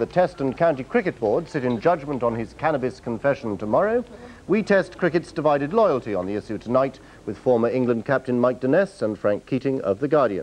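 A man with a British accent talks at a fairly quick pace, barely pausing at all. His pitch sits fairly high and swings very widely. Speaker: news presenter. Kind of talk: TV news headlines read in a grave, authoritative tone. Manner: crisp, brisk and formal.

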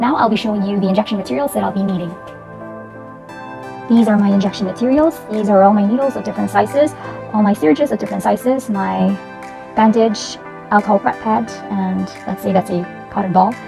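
Clear music plays in the background as a woman speaks at a very fast pace broken by long, frequent pauses. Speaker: student nurse. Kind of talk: instructional demonstration narration. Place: home room. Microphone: lapel.

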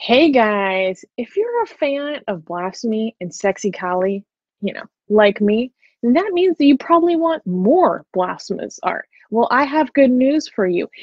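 Against a quiet background, a woman with a high voice talks at a fairly slow pace, the sound dry and free of echo. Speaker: channel cohost. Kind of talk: promotional ad read. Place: home room. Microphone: earbuds.

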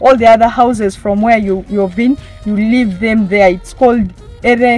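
Faint music plays behind a woman speaking at a moderate pace with fairly even intonation. The sound is dry, with no echo. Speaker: presenter. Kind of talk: presenter commentary. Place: open country.

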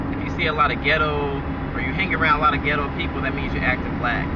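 A man at a very fast pace, dry sound with no echo, loud background noise. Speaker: vlogger. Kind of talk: casual vlog chat. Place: car. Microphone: phone near.

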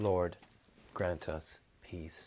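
A man speaking in a solemn tone. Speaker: priest leading evening prayer. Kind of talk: liturgical prayer service, spoken litany and intercession. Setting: church. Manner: fervent, earnest, solemn; measured, sincere, pastoral. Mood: calm, solemn. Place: office.

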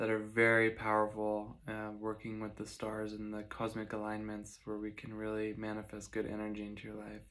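At an even, middling tempo, a man is talking. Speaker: meditation guide and astrologer. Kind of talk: guided meditation. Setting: online video, solo. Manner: soothing, steady and directive. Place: home room. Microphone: phone near.

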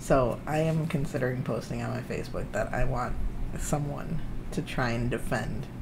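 A man talks at a medium pitch, his pitch varying in an ordinary way, with noticeable background noise behind him. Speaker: YouTube reaction channel co-host. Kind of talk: casual chat. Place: home room. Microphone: webcam.

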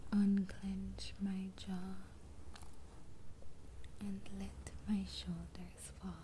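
Soft-spoken and very slow, a woman talks over light background noise. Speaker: affirmation video host. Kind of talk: soft spoken guided affirmations. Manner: soft, hushed ASMR bedtime voice. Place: home room. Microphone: phone near.

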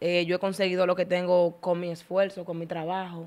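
A woman speaks at a fairly quick pace in a Dominican accent. Her voice sits at a medium pitch. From Dominican Republic. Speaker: TikToker, content creator; podcast guest. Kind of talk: casual interview chat. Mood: venting, somewhat indignant. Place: studio. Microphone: studio mic.

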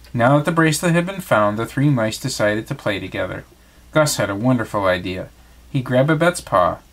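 The reading voice is unforced. Its intonation is lively.

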